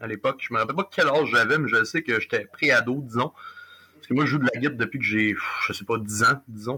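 A man's voice against noticeable background noise. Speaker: rock musician. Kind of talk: interview.

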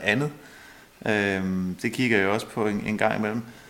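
A man is talking here. His medium pitch rises and falls in an ordinary way. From Denmark, Holbæk area (Zealand). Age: 40s. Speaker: local politician and landowner farmer. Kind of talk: radio interview. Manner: hesitant, many fillers.

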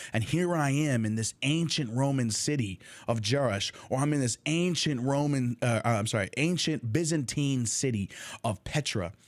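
A plain, everyday voice from a man with an American accent, medium in pitch with ordinary pitch variation, at a moderate pace and very even loudness, in a very clean recording with a silent background. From Texas, Dallas; later Jordan. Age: 30s. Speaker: podcast host and university student. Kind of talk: casual monologue about personal history. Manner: chatty, with frequent fillers and restarts.

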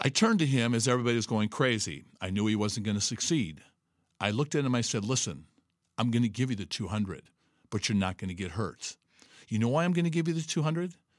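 In a very clean recording with a silent background, an animated man at medium pitch talks at a very fast pace with lively intonation. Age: 60s. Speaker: podcast host and fitness coach. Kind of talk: motivational talk. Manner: emphatic.

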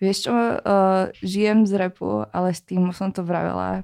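A woman talks at a fairly quick pace with a dark, mellow tone and a Slovak accent. The recording is very clean, with a silent background. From Slovakia, Bratislava. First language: Slovak (speaking Czech). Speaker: rapper. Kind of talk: casual chat.

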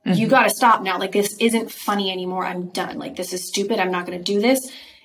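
This is a normal speaking voice, delivered at a fairly quick pace with fairly even intonation. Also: woman. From Idaho, US. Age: 30s. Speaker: actress. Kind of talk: casual interview chat.

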